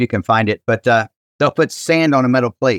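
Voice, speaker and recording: This is a normal speaking voice with an American accent at a moderate pace. Pitch varies in an ordinary way, and the sound is dry and close with no echo. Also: man. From Ohio, Cincinnati. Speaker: pastor. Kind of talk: casual chat.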